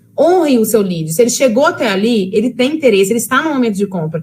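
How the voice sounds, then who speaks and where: A woman at a very fast pace, with very wide pitch swings. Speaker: sales trainer. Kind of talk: lecture.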